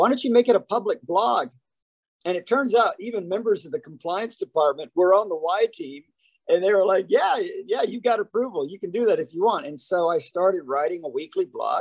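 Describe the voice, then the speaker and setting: A man with an American accent speaks at a high pitch and a fairly quick pace. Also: lively intonation, dry, close sound with no echo. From US South, Huntsville, Alabama. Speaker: keynote speaker and author. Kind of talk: podcast interview.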